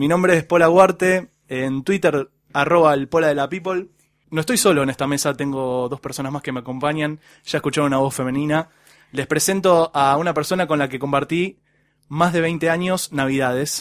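A man with an unremarkable speaking voice talks at a moderate pace and a fairly high pitch with ordinary pitch variation, the sound dry and close with no echo in a very clean recording with a silent background. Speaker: podcast host. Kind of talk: casual chat.

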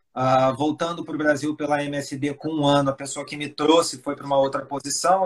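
A man talks at a fairly high pitch in a monotone with flat intonation. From Brazil, Rio de Janeiro, raised in Espírito Santo. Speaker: pharmaceutical executive. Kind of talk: interview. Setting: live stream video call.

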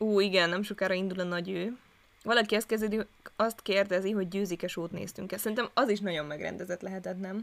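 Her pitch is medium and her intonation fairly even. The woman speaks at a very fast pace. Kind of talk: casual chat. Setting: new recording location.

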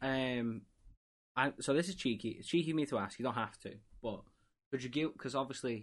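A man talks at a very fast pace with ordinary pitch variation, stopping for long, frequent pauses. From England. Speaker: podcast host. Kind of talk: casual interview chat.

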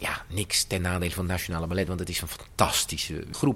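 Over noticeable background noise, a man speaks at a moderate pace with a fairly low pitch. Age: 50s. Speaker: choreographer. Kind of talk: interview.

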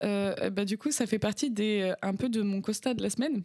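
This woman has an ordinary speaking voice, pitched fairly high, with fairly even intonation. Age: 20s. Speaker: podcast guest. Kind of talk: casual chat.

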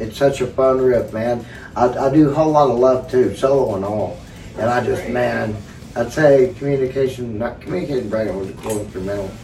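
With audible room echo and noticeable background noise, a man talks at a medium pitch with ordinary pitch variation. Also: fairly quick pace. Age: 50s. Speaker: guitarist. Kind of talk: casual chat.

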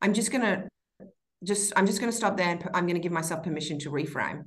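Audible room echo follows a woman talking at medium pitch and a fairly quick pace. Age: 30s. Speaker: entrepreneur and mother. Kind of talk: casual interview.

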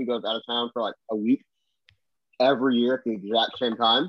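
Here a man talks at a fairly quick pace. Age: 20s. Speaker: auto detailer. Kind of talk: casual chat.

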